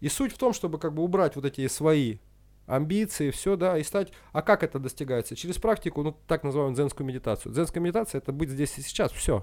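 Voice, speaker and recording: The recording is very clean, with a silent background. A man with a fairly high pitch talks at a very fast pace with lively intonation. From northern Russia (Usinsk, Komi). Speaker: karate champion and coach. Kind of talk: casual interview chat. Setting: sports camp by a lake.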